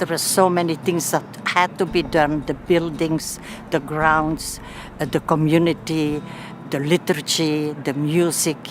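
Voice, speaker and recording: Over noticeable background noise, a woman speaks at a fairly slow pace. Her pitch is very deep and low, and her intonation monotone and flat. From Belgium. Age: 80s+. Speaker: nun and mission administrator. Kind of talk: interview testimony.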